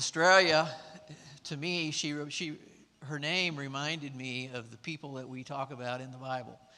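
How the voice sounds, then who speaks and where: A man speaks with a Texas accent. His tone is bright and sharp. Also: fairly even intonation, moderate pace, big swings in loudness. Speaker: mission trip participant, sponsor. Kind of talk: testimony. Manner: halting, with many fillers.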